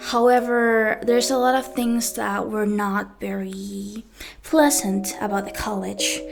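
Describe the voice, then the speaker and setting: Background music plays while a woman talks at a fairly slow pace. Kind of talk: personal storytime talk.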